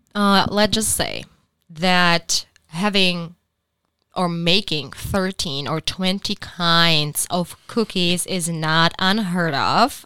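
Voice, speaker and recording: A woman speaks very slowly in a Czech accent, her tone bright and sharp. Her intonation stays fairly even on a very clean recording with a silent background. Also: fairly low pitch for a woman. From Czech Republic. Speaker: podcast co-host. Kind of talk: casual chat. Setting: studio.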